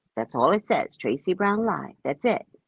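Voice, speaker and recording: With a dry, close sound and no echo, a woman's voice shows vocal fry and very wide pitch swings. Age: 60s. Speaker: psychic reader. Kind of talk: casual live stream chat.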